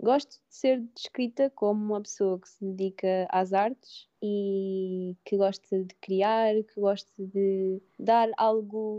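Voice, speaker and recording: A woman talks at a very slow pace with hardly any pauses, her medium pitch carrying fairly even intonation. Her tone is calm, though her loudness swings a lot. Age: 20s. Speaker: photographer and content creator. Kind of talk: casual interview.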